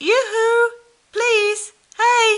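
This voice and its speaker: A woman puts on a squeaky character voice at an extremely high pitch, delivered in a monotone, flat intonation. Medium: read story.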